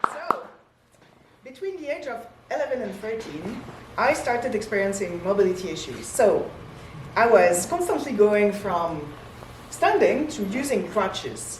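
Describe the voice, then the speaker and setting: Pausing long and often, a woman with a fairly high pitch swings very widely in tone, heard with audible room echo and noticeable background noise. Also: fairly slow pace, big swings in loudness. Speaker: singer and voice teacher. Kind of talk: lecture. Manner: halting.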